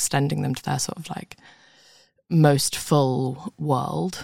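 The voice carries vocal fry. The sound is dry and close, with no echo. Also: woman. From London. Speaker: writer. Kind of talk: interview chat. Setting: studio.

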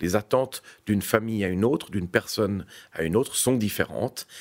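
With an unremarkable speaking voice, a man talks at a moderate pace in a fairly low pitch with ordinary pitch variation, captured in a very clean recording with a silent background. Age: 50s. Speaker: real estate executive. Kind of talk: interview.

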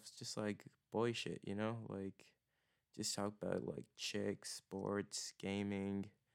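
Speaking at a very slow pace, a man uses a fairly low pitch. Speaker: podcast host. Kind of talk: solo podcast monologue. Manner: monotone, low energy; halting, many fillers.

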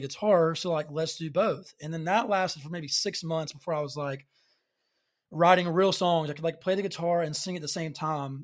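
A fairly quick voice with a Southern US accent and ordinary pitch variation, over a quiet background. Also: man. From Alabama, US South. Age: 20s. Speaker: singer-songwriter. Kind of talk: casual chat.

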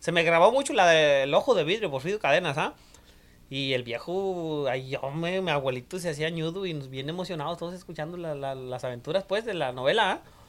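This man has an unremarkable speaking voice, fairly high in pitch, moving at a fairly quick pace with ordinary pitch variation and big swings in loudness. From rural Mexico, mountain ranch. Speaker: podcast guest. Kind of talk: casual chat.

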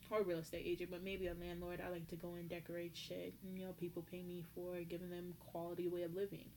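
A woman at a very fast pace with hardly any pauses, a fairly low pitch and a dark, mellow tone. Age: 20s. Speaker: podcast host. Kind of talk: casual monologue. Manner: animated.

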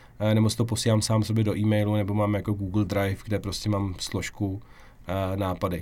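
A man is speaking. His pitch sits fairly low. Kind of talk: casual interview. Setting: podcast studio.

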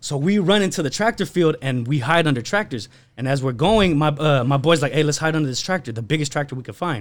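Very fast delivery with lively intonation and hardly any pauses. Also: man, fairly high pitch for a man. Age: 20s. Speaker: podcast guest, clothing and toy brand owner. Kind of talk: casual chat. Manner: animated.

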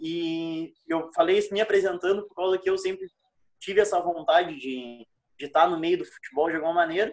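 Intonation stays fairly even as a man speaks in a high voice. His pace is very fast. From Rio Grande do Sul. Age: 20s. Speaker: podcast co-host. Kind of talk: casual chat.

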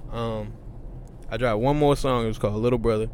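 A man speaks at a medium pitch, with audible room echo. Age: 20s. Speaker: rapper. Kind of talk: casual interview. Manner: halting.

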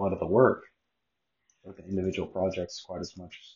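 A somewhat breathy man's voice, fairly low in pitch, moves at a fairly quick pace. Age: 30s. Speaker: podcaster. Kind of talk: casual monologue.

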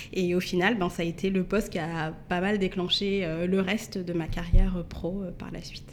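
At a moderate pace and medium pitch, a woman talks with hardly any pauses. Her intonation is monotone and flat. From Paris suburbs, Yvelines (Mantes-la-Jolie). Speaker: entrepreneur and communications agency director. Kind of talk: podcast interview. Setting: coworking space recording.

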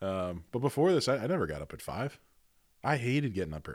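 A man with a plain, everyday voice speaks at a fairly quick pace with lively intonation, recorded very cleanly against a silent background. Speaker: podcast host. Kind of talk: casual chat.

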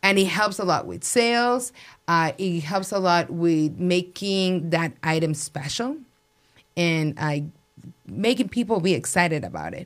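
A woman with a Spanish accent speaks at fairly low pitch and a fairly slow pace with lively intonation. The recording is very clean and the background silent. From Mexico City. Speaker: restaurant owner. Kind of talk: interview.

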